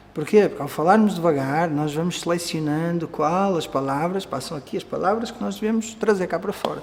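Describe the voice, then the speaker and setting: Speaking at a fairly quick clip with hardly any pauses, a man with a high voice uses lively intonation amid noticeable background noise and audible room echo. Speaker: Vedanta teacher. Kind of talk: lecture.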